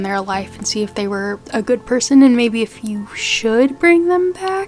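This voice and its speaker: Background music plays as a woman talks. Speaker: book content creator. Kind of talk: casual talk to camera.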